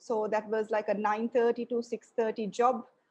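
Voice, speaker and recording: In a Sri Lankan accent, a woman speaks at a moderate pace and a fairly high pitch. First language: Sinhalese. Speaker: lecturer. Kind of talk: lecture.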